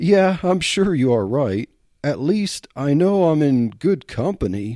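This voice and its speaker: Putting on a squeaky character voice, a man speaks at a fairly high pitch and fairly slow pace with very wide pitch swings, on a very clean recording with a silent background. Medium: read story. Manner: nervous, squeaky.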